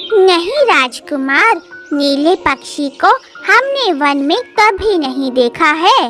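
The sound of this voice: Over clear background music, a woman performs a cartoonish character voice at an extremely high pitch and a very slow pace.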